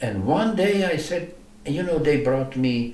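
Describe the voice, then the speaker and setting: A man speaks at a moderate pace with very wide pitch swings. The room echoes audibly, and background noise is noticeable. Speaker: Holocaust survivor. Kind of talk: oral history interview. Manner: halting, many repetitions.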